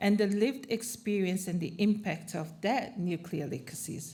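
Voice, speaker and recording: A woman with a somewhat breathy, dark and mellow tone speaks at medium pitch and a fairly slow pace, with audible room echo. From Tokelau and Samoa. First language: not English (English is third language). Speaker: panelist, Pacific advocate. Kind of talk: conference panel talk.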